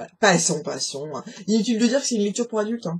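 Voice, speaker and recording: The pace is fairly quick. A woman speaks with lively intonation. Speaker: book vlogger. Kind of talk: casual book review vlog. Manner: hesitant, many fillers.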